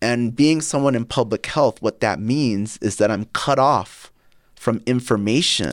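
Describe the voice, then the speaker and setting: A man with an ordinary speaking voice talks at a moderate pace in a medium pitch with ordinary pitch variation. The recording is very clean with a silent background and a dry, close sound with no echo. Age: 40s. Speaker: podcast host and health company CEO. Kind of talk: casual interview.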